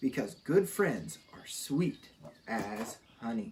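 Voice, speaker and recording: A put-on character voice at a low-to-middle pitch crawls at a very slow pace while swinging very widely in pitch. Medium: read story.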